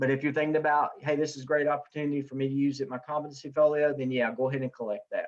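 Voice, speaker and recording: A man's fairly high voice in a Southern US accent at a very fast pace. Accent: Southern US (Wilkes County) dialect. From US South, Wilkes County, North Carolina. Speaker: professor. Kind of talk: online class Q&A session. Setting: video call. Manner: casual, hesitant with many fillers.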